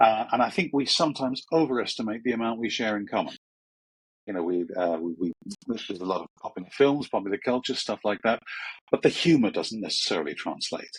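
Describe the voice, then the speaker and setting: With a British accent, a man speaks very fast at a medium pitch, his intonation lively. The sound is dry and close, without echo. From England, Croydon. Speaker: media trainer and former journalist. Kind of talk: podcast interview. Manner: hesitant with many fillers.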